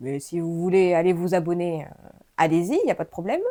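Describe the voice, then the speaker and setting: The tone of this woman's voice is dark and mellow. Her recording is very clean and the background is silent. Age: 30s. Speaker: YouTuber. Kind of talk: casual chat. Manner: hesitant, many fillers.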